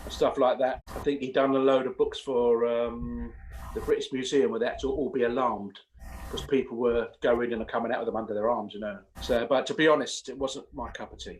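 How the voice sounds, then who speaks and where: The pace of this man's speech is fairly quick. He talks with an English accent. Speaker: singer and vocal coach. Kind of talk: interview. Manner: casual.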